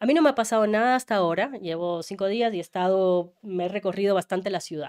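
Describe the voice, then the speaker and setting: Speaking very fast, a woman varies her pitch in an ordinary way, recorded very cleanly over a silent background. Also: medium pitch for a woman. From Ecuador. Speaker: journalist. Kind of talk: interview conversation.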